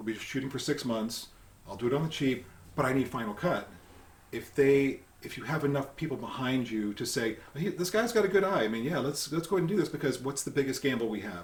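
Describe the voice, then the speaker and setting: A man with an American accent at a very fast pace, lively intonation, and noticeable background noise. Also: fairly high pitch for a man. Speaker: filmmaker and makeup effects artist. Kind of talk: casual interview chat.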